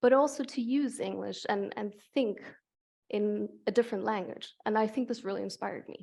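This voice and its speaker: With a German accent, a woman talks at a moderate pace in a fairly high pitch, her tone dark and mellow over a quiet background. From Germany. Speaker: climate researcher. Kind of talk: Q&A interview at public lecture.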